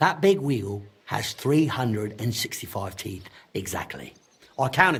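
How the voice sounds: A man puts on a character voice, fairly low in pitch with a fairly bright tone and a husky, rough edge, swinging widely in pitch at a fairly slow pace.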